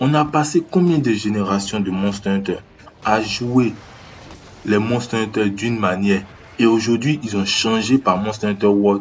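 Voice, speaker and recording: A man with a fairly low pitch talks at a fairly slow pace with ordinary pitch variation. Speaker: gaming youtuber. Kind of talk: improvised video commentary. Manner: halting, searching for words. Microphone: no microphone, low sound quality.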